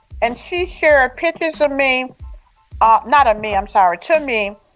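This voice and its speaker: Someone speaks at a moderate pace with lively intonation while music plays in the background. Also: woman. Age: 70s. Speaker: author. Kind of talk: interview answer.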